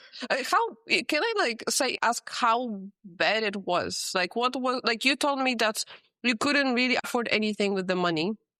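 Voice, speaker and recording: Fairly high-pitched woman's voice with a non-native accent, lively intonation, moderate pace and very even loudness, in a dry, close sound with no echo. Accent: foreign accent in English. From Poland. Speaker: podcast host. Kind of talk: casual interview.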